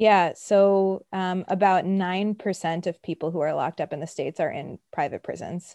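A woman with a New York accent, dark and mellow in tone, with fairly even intonation and hardly any pauses, in a dry, close sound with no echo against a quiet background. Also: medium pitch for a woman, moderate pace. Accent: New York American. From US, Brooklyn, New York. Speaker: criminal justice reform worker. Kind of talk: interview.

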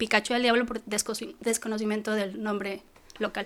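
A woman with an unremarkable speaking voice talks at a fairly high pitch, her intonation fairly even. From Mexico City. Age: 40s. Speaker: mountaineer. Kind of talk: interview.

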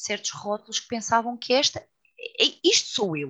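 A woman talks fairly slowly, her tone bright and sharp. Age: 40s. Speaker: yoga teacher and author. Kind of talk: casual chat.

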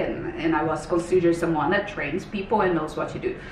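With a Portuguese accent, a woman talks in an animated tone over noticeable background noise. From Brazil. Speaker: health coach. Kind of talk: casual chat.

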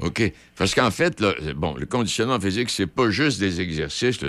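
A man speaks with a very deep, low pitch, vocal fry and very wide pitch swings. The recording is very clean, with a silent background. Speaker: radio host. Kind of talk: casual chat. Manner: halting.

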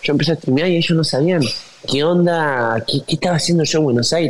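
Very fast speech from a man with a fairly high pitch and ordinary pitch variation, over noticeable background noise. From Argentina, Tucumán (northwest). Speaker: musician and influencer. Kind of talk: casual interview. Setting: video call.

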